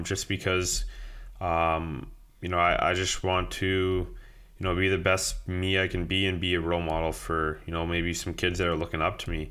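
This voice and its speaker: Very deep and low, a man's voice moves at a moderate pace with a Canadian accent. Audible room echo surrounds it. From Ontario, Canada (Greater Toronto Area). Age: 20s. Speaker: professional hockey player. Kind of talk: interview. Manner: halting, many fillers.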